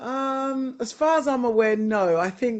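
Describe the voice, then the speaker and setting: Here a woman speaks in a London accent. Her pace is fairly slow. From West London, England. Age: 50s. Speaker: retired sumo wrestler. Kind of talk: interview. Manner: halting.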